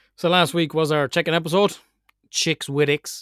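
Recorded very cleanly against a silent background with a dry, close sound and no echo, a man with an Irish accent talks at a fairly quick pace in a fairly high pitch. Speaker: podcast host. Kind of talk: casual chat. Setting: glamping pod with rain outside. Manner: animated.

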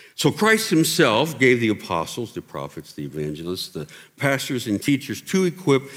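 Man with an American accent, medium pitch and very wide pitch swings, at a moderate pace. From Pennsylvania and Ohio. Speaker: pastor. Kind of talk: sermon.

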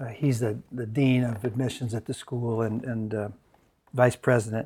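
A man with an American accent and a plain, everyday voice, medium in pitch, at a moderate pace with fairly even intonation. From US, Mennonite community. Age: 60s. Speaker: discipleship school director and adjunct professor. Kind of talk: conference talk. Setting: conference session with audience.

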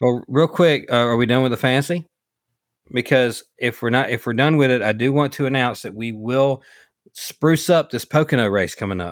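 A man with a Southern US accent mumbles his words. The sound is dry and close with no echo, on a very clean recording with a silent background. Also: medium pitch for a man, ordinary pitch variation. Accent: Southern US drawl. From US South, Alabama. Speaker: podcast co-host and former race car driver. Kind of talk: casual chat. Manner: mumbly, runs words together.

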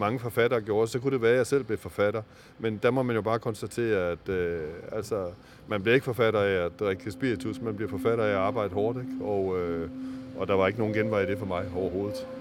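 Here a man speaks at a fairly quick pace. His pitch is fairly low, with ordinary variation. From Denmark, Aarhus (East Jutland). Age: 50s. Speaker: novelist. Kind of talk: interview. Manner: halting, many fillers.

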